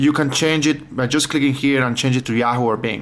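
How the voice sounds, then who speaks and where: Fairly even intonation marks a man's speech at a moderate pace. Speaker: tech tips vlogger. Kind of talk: tutorial. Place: home room. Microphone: phone near.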